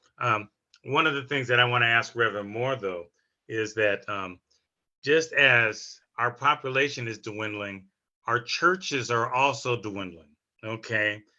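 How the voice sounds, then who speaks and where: Against a quiet background, a man talks at a fairly slow pace in a bright, sharp tone, his medium pitch showing ordinary variation. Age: 60s. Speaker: community activist. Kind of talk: panel discussion.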